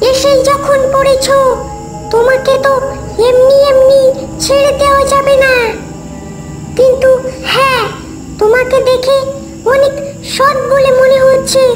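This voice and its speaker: A cartoonish character voice that sounds female, pitched extremely high for a woman, talks at a fairly slow pace over clear background music. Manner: harsh, commanding.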